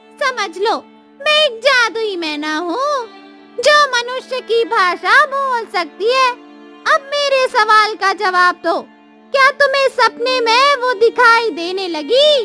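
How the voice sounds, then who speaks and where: A woman's cartoonish character voice, extremely high and fairly slow, with clear music in the background. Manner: cryptic, authoritative.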